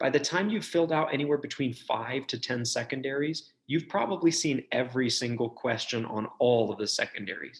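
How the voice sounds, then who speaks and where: A man with a medium-pitched voice speaks at a fairly quick pace in an animated tone. He leaves hardly any pauses, and his pitch varies in an ordinary way. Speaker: medical school admissions advisor. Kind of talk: webinar presentation. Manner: fast.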